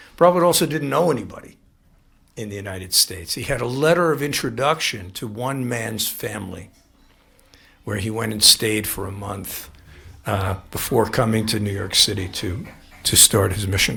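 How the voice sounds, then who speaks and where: A man with a fairly low pitch speaks at a moderate pace. His intonation is lively, and the room echo is audible. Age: 70s. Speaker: spiritual teacher. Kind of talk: lecture. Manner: halting.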